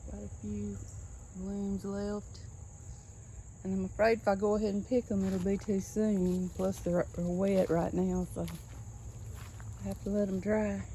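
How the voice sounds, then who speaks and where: Soft-spoken with a Southern US accent, the speaker goes at a fairly slow pace with long, frequent pauses. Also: woman. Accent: US South. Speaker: gardening vlogger. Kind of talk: casual garden tour vlog. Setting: outdoors in yard.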